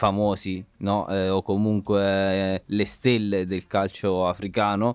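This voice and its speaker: The voice moves at a very slow pace with monotone, flat intonation. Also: man. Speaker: podcast host. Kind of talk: casual chat. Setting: video call.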